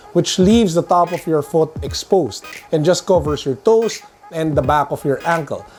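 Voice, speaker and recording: Music plays in the background as a man talks at a moderate pace. His voice is high, with ordinary pitch variation. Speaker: sneaker and tech reviewer. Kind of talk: casual talk to camera.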